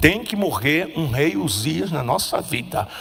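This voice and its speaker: At a very slow pace, a man talks amid audible room echo. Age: 70s. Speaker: preacher. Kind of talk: sermon.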